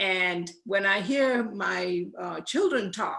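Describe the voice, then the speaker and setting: Speaking at a medium pitch with ordinary pitch variation, a woman has an unremarkable speaking voice. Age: 60s. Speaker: panelist. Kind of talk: panel discussion.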